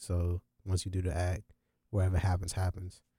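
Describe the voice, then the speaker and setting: A somewhat breathy man with an American accent. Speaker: podcast host. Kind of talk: casual chat. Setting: studio. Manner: laid-back.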